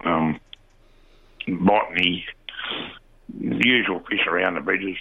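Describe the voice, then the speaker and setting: Talking at a fairly slow pace with an Australian accent, a man with a very deep, low pitch shows ordinary pitch variation over noticeable background noise. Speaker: fishing reporter. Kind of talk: casual chat.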